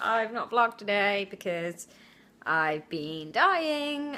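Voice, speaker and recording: A woman with a British accent speaks at a medium pitch in a bright, sharp tone, her pitch swinging very widely. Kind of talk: casual vlog to camera. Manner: low-energy.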